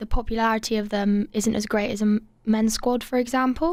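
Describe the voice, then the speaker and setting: In an English accent, a woman speaks with a fairly high pitch. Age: young. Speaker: university student and rowing captain. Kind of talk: radio interview. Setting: studio.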